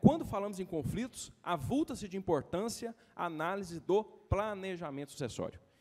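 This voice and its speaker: A man talks at a high pitch. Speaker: lawyer. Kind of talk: lecture. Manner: fast; hurried, halting.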